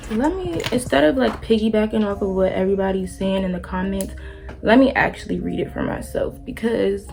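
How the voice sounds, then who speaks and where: A woman speaks at a moderate speed while music plays behind her. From Prince George's County, Maryland, USA. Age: 20s. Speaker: beauty and lifestyle vlogger. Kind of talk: casual talk to camera.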